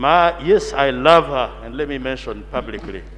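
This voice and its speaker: Noticeable background noise runs through the clip. The speaking pace is moderate. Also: man. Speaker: member of parliament. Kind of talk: parliamentary debate. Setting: parliament chamber. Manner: formal.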